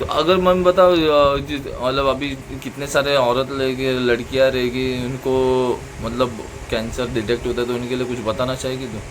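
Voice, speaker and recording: The speech, in a Marathi accent with fairly even intonation, has audible room echo and noticeable background noise. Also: man, medium pitch for a man. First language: Marathi (speaking Hindi). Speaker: vlogger. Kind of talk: casual interview with his mother. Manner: halting, many fillers.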